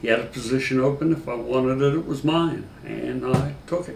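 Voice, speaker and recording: In an American accent, a man of medium pitch talks at a moderate pace with audible room echo. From northeastern Pennsylvania. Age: 60s. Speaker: retired sheriff's deputy. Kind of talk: interview. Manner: halting, frequent fillers.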